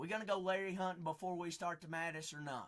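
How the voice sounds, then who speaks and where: Bright and sharp in tone, a man's voice sits at a high pitch. He speaks with an American accent. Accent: noticeable regional accent, unnamed. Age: 20s. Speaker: live-stream card breaker. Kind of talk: live-stream chat. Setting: live stream. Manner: animated.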